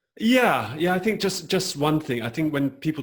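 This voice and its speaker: A man with a British accent and very wide pitch swings, in a very clean recording with a silent background. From England, London. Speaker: acupuncturist and creativity coach. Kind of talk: interview.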